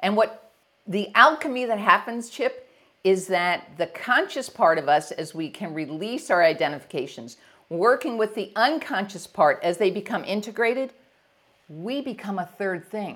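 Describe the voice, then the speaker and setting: Energetic in tone, a woman talks at a moderate pace and medium pitch. Her pitch swings very widely. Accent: American. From US Northeast, near New York City. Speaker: leadership coach. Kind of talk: interview. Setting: video call.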